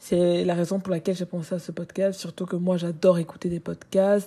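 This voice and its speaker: Her tone dark and mellow, a woman talks at a medium pitch. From Cameroon. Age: 20s. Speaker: content creator and student podcaster. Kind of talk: personal monologue. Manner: casual, with hesitations.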